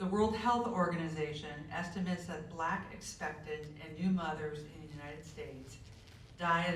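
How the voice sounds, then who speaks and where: Over noticeable background noise, a woman talks at a moderate pace with a very deep, low pitch. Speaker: community member reader. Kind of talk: reading aloud from a book at a community event.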